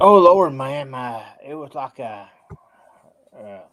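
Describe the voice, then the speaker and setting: Speaking at a very slow pace, a man uses lively intonation at a fairly high pitch. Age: 50s. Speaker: caller on a livestream. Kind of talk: casual livestream chat. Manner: halting, many repetitions and fillers.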